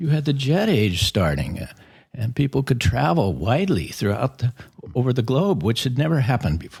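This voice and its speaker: With an American accent, a man speaks at a fairly quick pace, his vocal fry showing through very wide pitch swings. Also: medium pitch for a man. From US West, Oregon. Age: 70s. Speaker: spiritual author and former secretary to a guru. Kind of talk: podcast interview.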